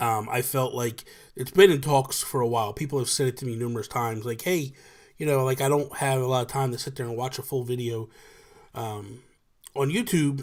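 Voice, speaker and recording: Speaking at a fairly quick pace, a man with an American accent uses a medium pitch and ordinary pitch variation. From New Jersey. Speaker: podcast host and gaming YouTuber. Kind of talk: casual chat. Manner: talkative, off the cuff.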